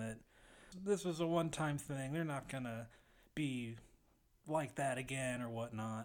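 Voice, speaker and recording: A man with an ordinary speaking voice talks at a moderate pace, with a medium pitch and ordinary pitch variation. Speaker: sound engineer. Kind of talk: casual chat.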